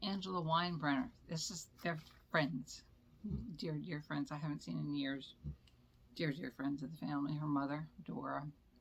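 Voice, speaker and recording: A woman's very deep, low voice with vocal fry, a moderate pace and long, frequent pauses. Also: ordinary pitch variation. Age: 70s. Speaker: makeup vlogger. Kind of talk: casual chat. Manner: rambling, halting.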